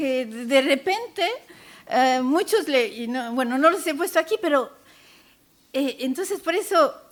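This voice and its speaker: Lively intonation carries this voice. It is a woman's, high in pitch. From France, child of Castilian Spanish immigrants. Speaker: panel speaker, works with immigrant children. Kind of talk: conference talk. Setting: conference panel with audience. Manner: hesitant, many fillers.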